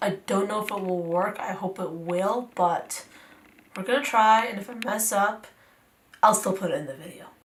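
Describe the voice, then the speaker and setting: A woman speaks at a moderate pace, her loudness swinging widely, with noticeable background noise. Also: medium pitch for a woman, ordinary pitch variation. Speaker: beauty YouTuber. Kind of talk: makeup tutorial talk to camera. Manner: casual, chatty.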